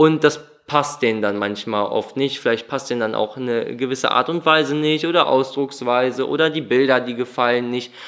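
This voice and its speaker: Speaking at an even speed, a man uses a plain, everyday voice whose pitch moves up and down in a typical way. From Düsseldorf, Germany. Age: 20s. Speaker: painter. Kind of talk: interview.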